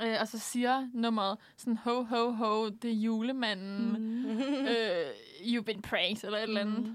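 A woman with an unremarkable speaking voice, fairly high in pitch, at a fairly slow pace with fairly even intonation. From Southern Jutland, Denmark. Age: 20s. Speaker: university student, radio guest. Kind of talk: casual chat. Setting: studio.

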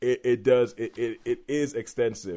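A man talks with a dark, mellow tone at a medium pitch. His pitch variation is ordinary. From Midlands England. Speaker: podcast host. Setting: video call.

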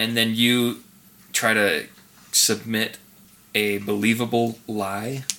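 A man with an American accent, medium pitch and a bright, sharp tone, monotone and flat in intonation, at a very slow pace with long, frequent pauses. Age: 20s. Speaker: podcast co-host. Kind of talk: casual chat.

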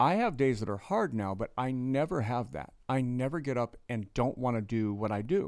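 Hardly pausing, a man speaks in a plain, everyday voice at a medium pitch and moderate pace, with lively intonation. The recording is very clean, with a silent background. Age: 50s. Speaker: pastor and former prisoner. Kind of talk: testimony.

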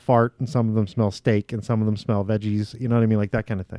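Talking at a very fast pace, a man with a dark, mellow tone and medium pitch is heard in a dry, close sound with no echo. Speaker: podcast co-host. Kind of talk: casual chat. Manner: laughs often.

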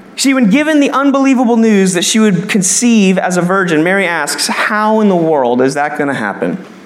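Talking at a fairly quick pace with hardly any pauses, a man uses a high voice with very wide pitch swings. Audible room echo and noticeable background noise are present. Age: 20s. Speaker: pastor. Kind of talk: sermon. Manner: animated.

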